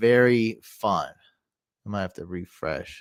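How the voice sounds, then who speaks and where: A man speaks quietly at a medium pitch. The recording is very clean, with a silent background. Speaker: fantasy football streamer. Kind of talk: live stream commentary. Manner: casual.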